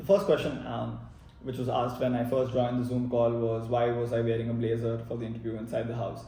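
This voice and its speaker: At a fairly quick pace, the speech comes through noticeable background noise and audible room echo. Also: man. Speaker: MBA applicant sharing experience. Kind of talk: personal vlog narration. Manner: fast; hesitant with many fillers.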